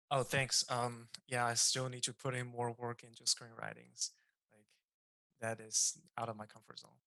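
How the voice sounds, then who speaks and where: Moderately paced speech in a non-native accent. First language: not English. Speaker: game design student. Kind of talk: casual chat.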